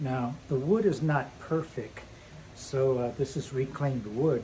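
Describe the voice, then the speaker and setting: A man delivers his words at a fairly slow pace and with ordinary pitch variation, noticeable background noise underneath. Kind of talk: tutorial. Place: street. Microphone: camera far.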